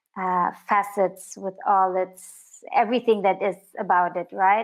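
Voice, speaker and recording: A woman speaks at a very slow pace in a medium pitch, her intonation fairly even. The background is quiet. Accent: non-native. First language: not English. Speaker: filmmaker. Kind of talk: interview. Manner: halting.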